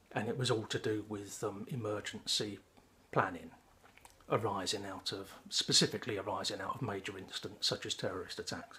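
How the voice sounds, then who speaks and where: A man's fairly low voice with an English accent, fairly even in intonation and fairly quick in pace. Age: 60s. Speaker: pipe-smoking vlogger, retired civil servant. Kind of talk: personal monologue, storytelling. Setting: home, smoking a pipe. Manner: halting, frequent ums.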